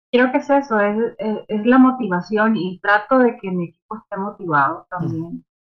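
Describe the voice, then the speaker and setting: This woman has a normal speaking voice, medium in pitch, and talks at a moderate pace with lively intonation. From Nicaragua. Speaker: music publicist and artist manager. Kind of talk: interview. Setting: video call from home.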